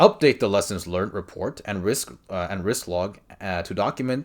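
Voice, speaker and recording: A man with a non-native accent and a very deep, low pitch, talking at a fairly slow pace over a quiet background. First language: not English. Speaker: exam prep coach. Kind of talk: tutorial. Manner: casual, conversational with fillers. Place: home room. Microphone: webcam.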